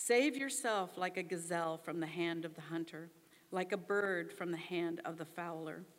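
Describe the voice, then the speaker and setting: A woman with a plain, everyday voice talks fairly slowly at a fairly low pitch. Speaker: scripture reader. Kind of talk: reading aloud.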